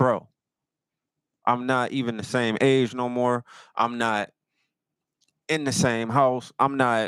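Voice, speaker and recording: A man at a medium pitch speaks very slowly in a monotone, flat voice, leaving long, frequent pauses. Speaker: livestream host. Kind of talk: casual livestream talk.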